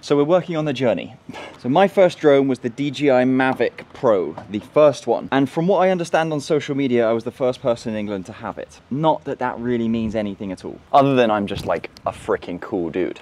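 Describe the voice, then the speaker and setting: A man speaks at a fairly quick pace with lively intonation and hardly any pauses. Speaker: vlogger. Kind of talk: casual vlog chat. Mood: upbeat, joking. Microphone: phone near.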